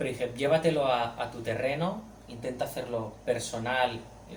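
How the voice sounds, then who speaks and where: A man speaks at a medium pitch and a fairly slow pace, with ordinary pitch variation. Noticeable background noise and audible room echo surround him. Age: young. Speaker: comic artist and author. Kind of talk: book presentation talk. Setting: bookshop event with audience. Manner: halting, many repetitions.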